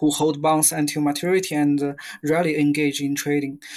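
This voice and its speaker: At a fairly slow pace, a man with a Chinese accent speaks in a fairly high pitch. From China, Beijing. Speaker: fixed income portfolio manager. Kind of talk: interview. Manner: halting.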